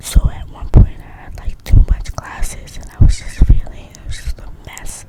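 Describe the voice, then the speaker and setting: Whispering at a moderate pace with hardly any pauses, a woman shows big swings in loudness over noticeable background noise. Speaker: ASMR content creator. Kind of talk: casual rambling talk to camera, whispered ASMR style. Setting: recorded in bed at night at home. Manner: whispered, casual, chatty.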